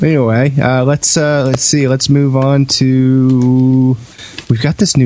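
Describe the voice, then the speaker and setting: A man with a medium-pitched voice talks while noticeable background noise plays behind him. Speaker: gaming podcast host. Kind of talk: casual chat.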